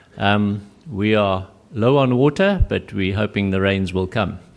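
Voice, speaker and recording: Speaking at a fairly slow pace, a man with a South African accent uses lively intonation. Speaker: conference speaker. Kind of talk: lecture.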